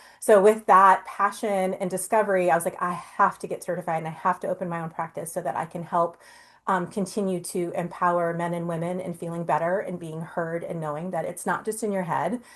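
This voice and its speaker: A woman talks at a fairly quick pace with fairly even intonation and hardly any pauses, over a quiet background. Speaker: nurse practitioner. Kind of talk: webinar presentation. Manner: fast; informal.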